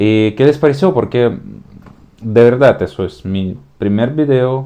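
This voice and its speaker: Speaking with a slight Slavic accent, a man has a dark, mellow tone and ordinary pitch variation. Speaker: youtuber, political commentator. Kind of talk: casual political commentary vlog. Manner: hesitant, many fillers.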